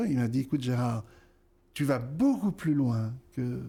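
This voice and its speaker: A somewhat breathy man's voice, dark and mellow in tone, medium in pitch, at a moderate pace. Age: 60s. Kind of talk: interview. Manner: hesitant, many fillers.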